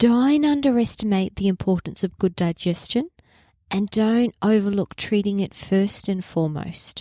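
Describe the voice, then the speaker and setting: A woman speaks with an Australian accent at a moderate pace, her tone dark and mellow. The very clean recording has a silent background and a dry, close sound with no echo. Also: medium pitch for a woman, ordinary pitch variation. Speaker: naturopath podcast host. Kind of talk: health podcast monologue.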